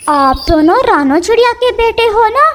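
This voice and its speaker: In a cartoonish character voice, a woman talks at a moderate pace with an extremely high pitch. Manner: warm, gentle.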